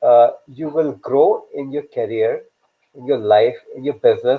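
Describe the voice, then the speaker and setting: A man speaks with a Pakistani accent. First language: Urdu. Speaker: career coach and live show host. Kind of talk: live stream talk. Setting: online live video session. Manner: hesitant, many fillers.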